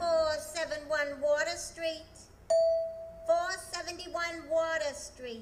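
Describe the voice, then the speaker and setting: A put-on character voice at an extremely high pitch, with a fairly slow pace, long, frequent pauses and loud background noise. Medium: old radio play. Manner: flat, announcing.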